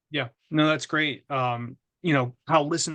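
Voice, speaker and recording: A man speaks loudly at a fairly slow pace in a bright, sharp tone with fairly even intonation, the sound dry and close with no echo against a quiet background. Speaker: webinar presenter, trainer. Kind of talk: webinar Q&A. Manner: halting, many fillers and repetitions.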